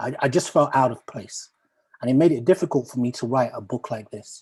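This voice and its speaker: At a moderate pace, a man of medium pitch speaks somewhat breathily with ordinary pitch variation. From Uganda, raised from childhood in Peckham, London. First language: Luganda. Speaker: poet. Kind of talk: talk to an online audience. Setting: video call. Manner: hesitant, many fillers and restarts.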